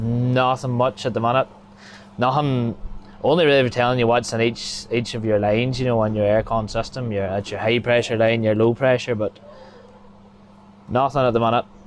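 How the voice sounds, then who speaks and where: A man at a moderate pace with long, frequent pauses, monotone and flat in intonation, dry with no echo, over light background noise. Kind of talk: interview answer. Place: farm machine. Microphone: phone near.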